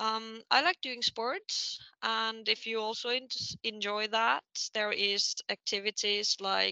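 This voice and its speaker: A woman with a Finnish accent at a very slow pace, dry and close with no echo, over a quiet background. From Finland. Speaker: engineering student. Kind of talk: casual interview. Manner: hesitant, many fillers.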